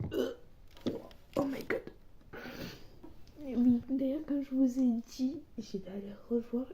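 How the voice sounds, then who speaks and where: A woman speaks in a high voice at a very slow pace. Long, frequent pauses break up her speech. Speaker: beauty vlogger. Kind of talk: casual vlog tutorial. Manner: animated.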